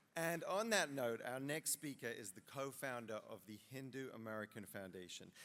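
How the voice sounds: Speaking at a moderate pace, the man has a medium pitch, ordinary pitch variation, and a fairly bright tone.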